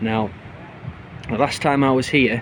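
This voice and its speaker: Over noticeable background noise, a man with a northeast English accent speaks at a moderate pace in a monotone, flat intonation. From northeast England. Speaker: travel vlogger. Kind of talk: casual travel vlog.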